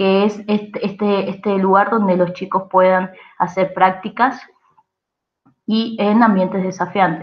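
A woman with an Argentine accent talks at a fairly slow pace in a monotone, flat intonation. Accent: Argentine Spanish (Rioplatense). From Argentina. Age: 20s. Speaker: youth organization presenter. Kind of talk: training presentation. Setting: recorded online session. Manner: hesitant with frequent fillers. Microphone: video call.

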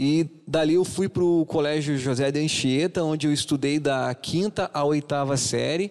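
An ordinary speaking voice at a moderate pace, with fairly even intonation, very even loudness and a quiet background. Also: man, fairly high pitch for a man. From southern Brazil, Paraná–Santa Catarina border. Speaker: DJ and event business owner; DJ. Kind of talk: radio interview. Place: studio.

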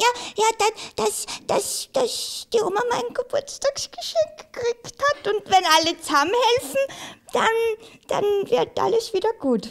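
A cartoonish character voice, extremely high, fairly slow, with long, frequent pauses. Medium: puppet.

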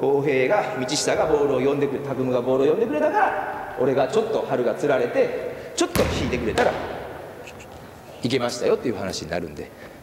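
With audible room echo and noticeable background noise, a man talks at a very fast pace. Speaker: basketball coach. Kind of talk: coaching explanation to players. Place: hall. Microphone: camera far.

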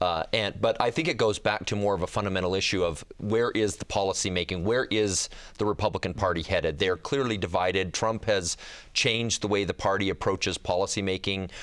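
This man has a plain, everyday voice, fairly low in pitch, with an American accent and a fairly quick pace. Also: ordinary pitch variation. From Utah. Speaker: lobbyist; guest. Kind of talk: roundtable discussion. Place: studio. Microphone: lapel.

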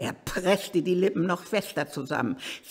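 A reading voice that is natural, its intonation fairly even

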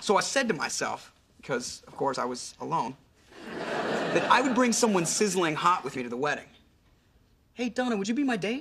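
A man puts on a character voice, high-pitched and fairly bright in tone with a slightly husky edge, swinging his pitch widely. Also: moderate pace.

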